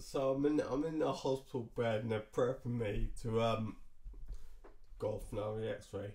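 A man talks at a medium pitch and moderate pace with ordinary pitch variation. His dark, mellow tone is somewhat breathy. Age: 30s. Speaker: vlogger. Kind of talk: personal vlog storytelling. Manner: halting, many fillers. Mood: relaxed, lightly amused. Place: home room. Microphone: webcam.

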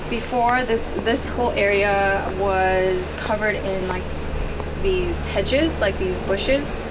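Loud background noise fills the recording. Over it, a woman talks. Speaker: homeowner vlogger. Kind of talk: casual vlog tour. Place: garden.

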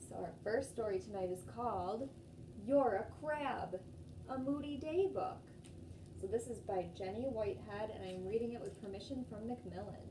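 Noticeable noise runs in the background. A woman talks at a moderate pace. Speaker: storytime host. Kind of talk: children's storytime and singing. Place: home room. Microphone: phone near.

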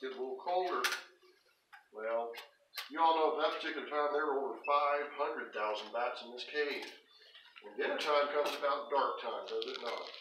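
The pace is fairly quick and the intonation fairly even. There is audible room echo and noticeable background noise. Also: man. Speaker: cave tour guide. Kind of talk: storytelling tour narration. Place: tunnel cave. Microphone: camera far.

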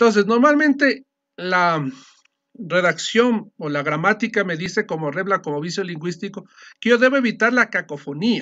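A man talks in a high pitch with lively intonation. He keeps a moderate pace over a quiet background. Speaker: teacher. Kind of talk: lecture. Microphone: video call.

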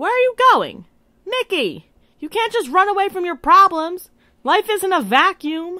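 A female-sounding voice uses a put-on character voice at an extremely high pitch and a moderate pace. The recording is very clean, with a silent background. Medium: short film. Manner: blunt, irritated, matter-of-fact.

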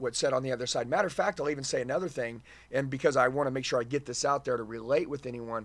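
This man talks with ordinary pitch variation. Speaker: podcast host. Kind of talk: interview talk, energetic storytelling. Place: studio. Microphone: studio mic.

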